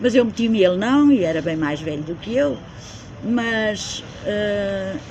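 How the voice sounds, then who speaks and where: A woman with very wide pitch swings, noticeable background noise and audible room echo. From central Portugal (Beira, Coimbra district). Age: 70s. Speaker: community member interviewee. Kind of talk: casual interview, life story. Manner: halting, self-correcting.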